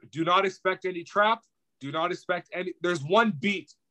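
Raised and projected, a man's high voice has a bright, sharp tone, ordinary pitch variation and a moderate pace, captured with a dry, close sound and no echo. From Portugal, raised in Canada. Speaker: podcast host and battle rapper. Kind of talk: casual chat. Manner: animated.

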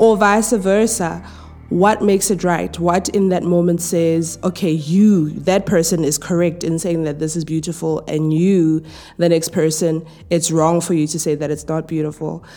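A woman speaks at a moderate pace in a dark, mellow tone with fairly even intonation. The recording is very clean, with a silent background. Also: fairly low pitch for a woman. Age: 30s. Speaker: podcast host. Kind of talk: casual monologue. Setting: at home.

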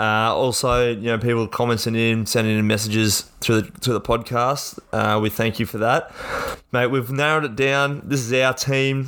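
Fairly even intonation from a man in an Australian accent. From Central Queensland, Australia. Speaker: sports podcast co-host and player. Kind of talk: casual chat. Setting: home podcast studio.

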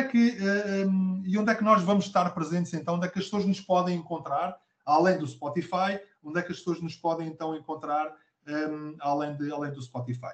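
This is a man with a high-pitched voice. His pitch moves in an ordinary way. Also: moderate pace. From Portugal, Abrantes. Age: 40s. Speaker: podcast co-host, business leader and coach. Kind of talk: casual conversational podcast. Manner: hesitant, many fillers and repetitions.

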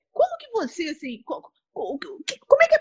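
A woman speaks with very wide pitch swings. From Rio de Janeiro, Brazil. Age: 30s. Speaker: entrepreneur and show host. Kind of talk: casual interview chat.

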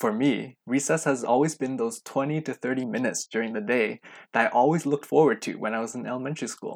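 A man with a Western Canadian accent talks very fast on a very clean recording, with a silent background and a dry, close sound that has no echo. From Canada, Vancouver. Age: 20s. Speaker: podcast host. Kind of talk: podcast intro monologue.

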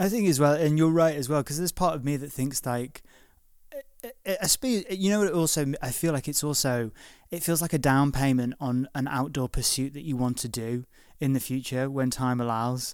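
A man speaks in a Liverpool accent with a fairly high pitch. The recording is very clean, with a silent background. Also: ordinary pitch variation, moderate pace. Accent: Liverpool (Scouse). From northwest England, Liverpool. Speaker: podcast host. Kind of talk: interview. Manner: halting, repeats words.

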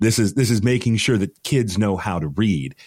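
A man's fairly low-pitched, plain, everyday voice with lively intonation at a moderate pace, on a very clean recording with a silent background. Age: 40s. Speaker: news correspondent. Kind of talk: casual news discussion.

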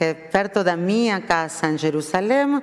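In an Argentine accent, a woman speaks at medium pitch with very wide pitch swings. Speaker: rabbi. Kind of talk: sermon. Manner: mixes Spanish with Portuguese.

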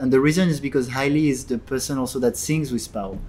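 The speaker is a man with a medium-pitched voice. He talks in a French accent. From France, Paris. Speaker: podcast host. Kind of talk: casual chat. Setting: tea house.

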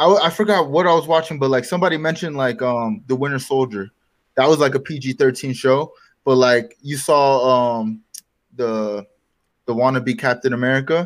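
A man speaks at a moderate pace in a medium pitch with an ordinary speaking voice, on a very clean recording with a silent background. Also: ordinary pitch variation. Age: 20s. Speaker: podcast co-host. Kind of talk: casual chat.

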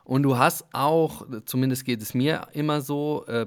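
Here a man speaks at a medium pitch. His pace is very slow. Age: 40s. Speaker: media team member at a football club. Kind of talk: casual interview chat. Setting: video call from training camp.

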